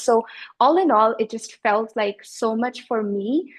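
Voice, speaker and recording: Fairly high in pitch, a woman with a plain, everyday voice shows ordinary pitch variation. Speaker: business coach. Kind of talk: interview answer.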